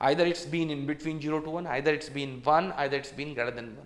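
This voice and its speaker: A man with an Indian accent speaks in a fairly high pitch, with noticeable background noise and audible room echo. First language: Hindi. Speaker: engineering exam tutor. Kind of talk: lecture. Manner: repetitive.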